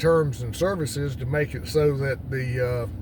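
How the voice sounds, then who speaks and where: A man speaks with an eastern North Carolina accent at a medium pitch and ordinary pitch variation. Audible room echo surrounds his voice. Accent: Southern US (eastern North Carolina). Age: 60s. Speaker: retired farmer and YouTuber. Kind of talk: casual vlog monologue. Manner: halting, many fillers.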